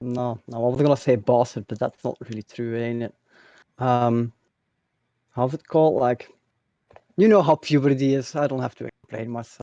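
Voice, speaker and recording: A man's dark, mellow voice at medium pitch and moderate pace, fairly even in intonation, with long, frequent pauses, big swings in loudness, and a dry, close sound with no echo. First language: Dutch. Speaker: streamer. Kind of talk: interview. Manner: halting.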